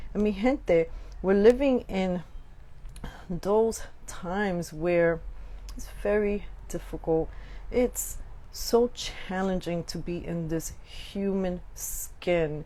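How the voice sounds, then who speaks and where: Speaking very slowly with long, frequent pauses, a woman has a medium pitch, ordinary pitch variation and a dark, mellow tone. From Brooklyn, New York (Puerto Rican). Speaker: podcast host. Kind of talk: live podcast monologue. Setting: live stream.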